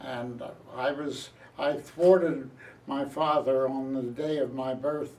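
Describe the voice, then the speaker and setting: Speaking at a very slow pace, a man with a fairly high pitch has a dark, mellow tone and monotone, flat intonation. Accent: American. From Philadelphia area, US. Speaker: retired journalist. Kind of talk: oral history interview.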